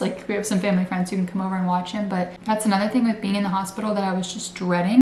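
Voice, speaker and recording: A woman speaks at a medium pitch in a monotone, flat intonation. Audible room echo surrounds her voice. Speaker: lifestyle vlogger. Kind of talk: casual vlog talk. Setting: at home, bedroom. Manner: soft-spoken.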